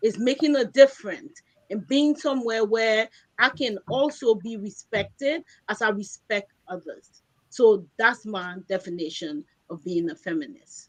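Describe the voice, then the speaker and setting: In a plain, everyday voice, a woman speaks fairly slowly at a fairly high pitch, with lively intonation and big swings in loudness. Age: 60s. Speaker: panelist, councilor. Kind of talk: panel discussion. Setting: online broadcast.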